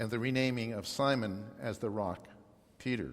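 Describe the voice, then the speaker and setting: Audible room echo hangs over fairly slow speech. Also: man. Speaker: lay preacher. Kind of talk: sermon. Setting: church. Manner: halting.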